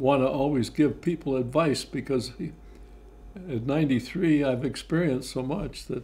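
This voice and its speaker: A somewhat breathy man with an American accent and a dark, mellow tone speaks at a fairly slow pace and medium pitch with ordinary pitch variation. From Texas. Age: 90s. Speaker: war veteran. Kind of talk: oral history interview. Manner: halting, frequent fillers.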